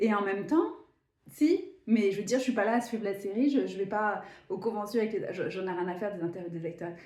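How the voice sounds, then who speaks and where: Somewhat breathy and fairly high in pitch, a woman speaks at a moderate pace with an animated tone and lively intonation, with audible room echo. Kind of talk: casual spiritual vlog monologue.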